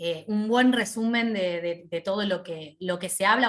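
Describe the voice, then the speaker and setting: Medium pitch from a woman speaking at a fairly slow pace, her pitch varying in an ordinary way. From Argentina. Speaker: hospital radiopharmacist, lecturer. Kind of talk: online lecture. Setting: video call. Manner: informal, conversational.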